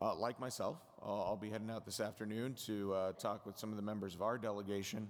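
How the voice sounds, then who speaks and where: A man at medium pitch with an American accent, a moderate pace and audible room echo. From Colorado. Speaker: association vice chair introducing speaker. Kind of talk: conference speech introduction. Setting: stage with audience. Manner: halting, many fillers.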